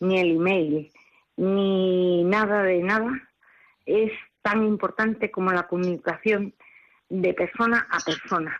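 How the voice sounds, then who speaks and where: A woman speaking at a very slow pace over a quiet background. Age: 70s. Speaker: radio caller. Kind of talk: phone-in comment. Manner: emphatic.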